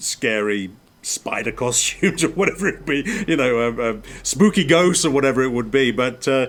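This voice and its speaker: A man with an English accent speaks at a medium pitch and a moderate pace. The recording is very clean, with a silent background. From England. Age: 50s. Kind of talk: casual chat. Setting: outdoors on a porch.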